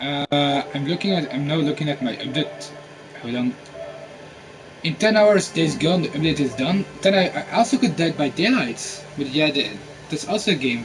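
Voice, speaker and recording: A man talks in a fairly high pitch, varying it in an ordinary way, at a moderate pace while music plays behind him. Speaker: gamer streamer. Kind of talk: live gameplay stream. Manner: halting; quiet.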